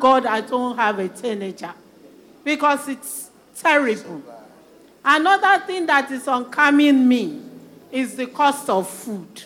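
A high-pitched woman's raised, projected voice at a very slow pace, lively in intonation, over noticeable background noise. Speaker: church member. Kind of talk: interactive church service sharing.

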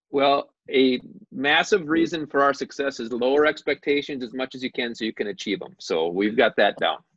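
In an American accent, an unremarkable speaking voice carries lively intonation. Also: man, fairly high pitch for a man, moderate pace. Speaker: high school basketball coach.

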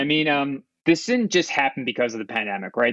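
Talking at a fairly quick pace, a man has a plain, everyday voice with ordinary pitch variation. The sound is dry and close, with no echo. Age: 30s. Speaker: fintech CEO. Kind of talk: interview.

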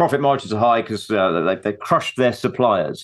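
A man with a normal speaking voice and ordinary pitch variation. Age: 50s. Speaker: investment strategist. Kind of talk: interview.

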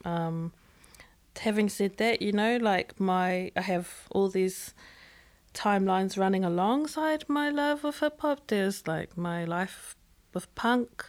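Speaking very slowly in a New Zealand accent, a woman uses lively intonation at a medium pitch, recorded very cleanly against a silent background. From New Zealand, Auckland. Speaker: musician and writer. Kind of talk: casual chat. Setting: studio.

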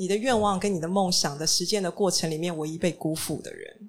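On a very clean recording with a silent background, a woman with a normal speaking voice talks at medium pitch and a fairly quick pace. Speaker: restaurant and bookstore founder. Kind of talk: panel talk. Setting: stage with audience.

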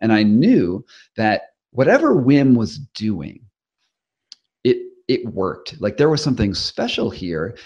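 A man with a medium pitch and vocal fry speaks at a fairly slow pace with lively intonation and long, frequent pauses. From US Northeast (Rhode Island). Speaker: investigative journalist and author. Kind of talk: interview.

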